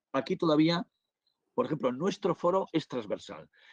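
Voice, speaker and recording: The man's pitch rises and falls in an ordinary way. He keeps a moderate speed. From northern Spain. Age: 60s. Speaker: business angel investor and lecturer. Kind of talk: webinar Q&A. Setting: online webinar. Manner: halting, many fillers and restarts.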